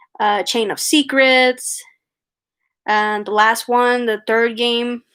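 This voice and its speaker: A high-pitched woman with a slight Puerto Rican accent speaks at a fairly slow pace with fairly even intonation. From Puerto Rico. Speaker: animator and writer. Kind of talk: live-stream Q&A. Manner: halting, many fillers.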